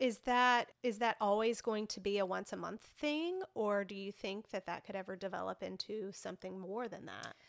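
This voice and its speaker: A woman speaks at medium pitch and a moderate pace, in an unremarkable speaking voice. Her pitch varies in an ordinary way, with hardly any pauses. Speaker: podcast host. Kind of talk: casual interview.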